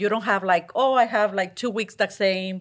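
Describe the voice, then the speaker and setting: The voice moves at a moderate pace with a Mexican accent. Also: woman, very clean recording, silent background. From Mexico. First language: Spanish. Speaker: restaurant chain trainer. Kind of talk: interview.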